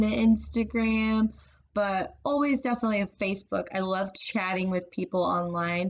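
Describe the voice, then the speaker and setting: With an unremarkable speaking voice, this woman talks at a moderate pace, her medium pitch showing ordinary variation. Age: 30s. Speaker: college student. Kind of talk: class assignment monologue. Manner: casual with many fillers.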